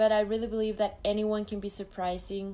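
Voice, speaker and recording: A woman speaks with a Mexican accent. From Mexico, Jalisco. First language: Spanish. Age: 20s. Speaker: beauty pageant contestant. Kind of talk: live stream Q&A. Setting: live video stream. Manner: halting.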